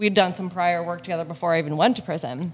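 Fairly even intonation in a plain, everyday voice. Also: woman. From Hamilton, Ontario, Canada. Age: 30s. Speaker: entrepreneur with a past drug conviction. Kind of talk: interview. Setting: cafe.

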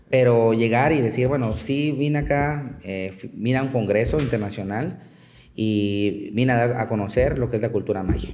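At a moderate pace, a man with a medium pitch and ordinary pitch variation speaks amid audible room echo. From Chiapas, Mexico. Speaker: archaeologist. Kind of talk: interview.

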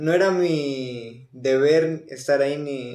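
A man with a Mexican accent speaks in a dark, mellow tone at a fairly high pitch, with ordinary pitch variation. Audible room echo is present. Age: 20s. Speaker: guest in recovery. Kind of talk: personal testimony. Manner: quiet, not talkative.

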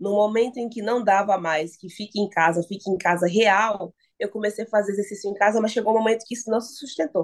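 A woman talks at a fairly quick pace with a fairly high pitch. It is a plain, everyday voice. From Bahia, Brazil (Salvador). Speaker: journalist and sports content creator. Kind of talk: podcast interview.

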